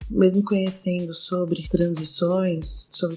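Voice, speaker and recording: Over music in the background, a woman talks in a fairly low voice. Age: 20s. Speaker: non-binary interviewee, theatre and audiovisual collective member. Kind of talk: personal testimony.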